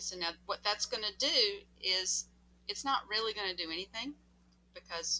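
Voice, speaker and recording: A woman talks in a Southern US accent. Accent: southern drawl. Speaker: math teacher. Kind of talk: tutorial. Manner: casual, animated.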